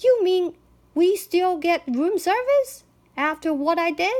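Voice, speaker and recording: A woman's put-on character voice, squeaky and extremely high-pitched, at a fairly slow pace. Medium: read story.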